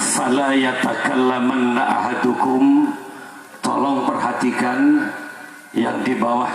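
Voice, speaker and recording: Very slow speech from a man amid noticeable background noise and audible room echo. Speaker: Islamic preacher. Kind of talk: sermon.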